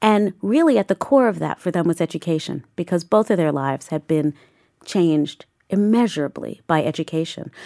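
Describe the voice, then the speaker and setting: A woman's unremarkable speaking voice, fairly low, at a moderate pace with lively intonation, in an American accent, the sound dry and close with no echo. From Southeast Queens, New York City. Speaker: museum director and curator. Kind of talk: interview conversation.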